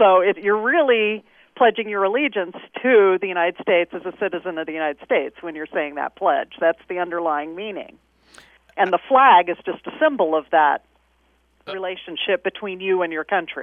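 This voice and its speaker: A woman speaks in a plain, everyday voice with an American accent, her pitch medium and its variation ordinary. She talks at a moderate pace. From Kansas. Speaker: flag scholar. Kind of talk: interview.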